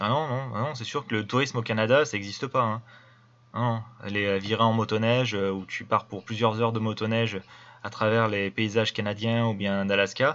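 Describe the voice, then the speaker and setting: Speaking with an ordinary speaking voice, a man keeps a medium pitch, fairly even intonation and a moderate pace. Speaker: video commentator. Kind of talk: commentary over video. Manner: casual.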